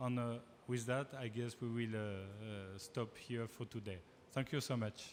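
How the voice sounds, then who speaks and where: A man with a French accent speaks at a fairly slow pace, his medium pitch carrying fairly even intonation. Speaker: panel moderator. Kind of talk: panel discussion. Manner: halting, many fillers.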